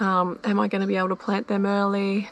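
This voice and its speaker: A woman speaks with an Australian accent. Her intonation is monotone and flat. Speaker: home gardener, channel owner. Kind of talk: garden tour walkthrough. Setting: outdoors in garden. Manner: hesitant, filler words.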